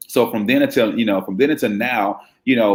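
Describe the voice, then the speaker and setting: In a very clean recording with a silent background, a man with an American accent speaks at a fairly quick pace. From Chicago, South Side. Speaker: brand marketing agency founder. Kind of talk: interview. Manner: hesitant, many fillers and repeats.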